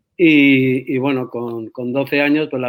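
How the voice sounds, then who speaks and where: A man speaks at a medium pitch in a flat, monotone way. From Spain, San Sebastián. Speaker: rugby federation president. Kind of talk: interview.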